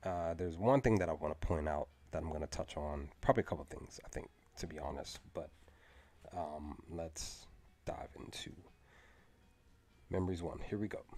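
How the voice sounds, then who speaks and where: A man with a very deep, low pitch talks at a moderate pace with ordinary pitch variation. There are long, frequent pauses, and music plays in the background. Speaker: streamer discussing and reading a novel. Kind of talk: casual live stream chat. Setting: live stream.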